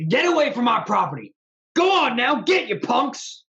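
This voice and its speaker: A high-pitched, put-on character voice. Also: moderate pace. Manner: yelling, hostile.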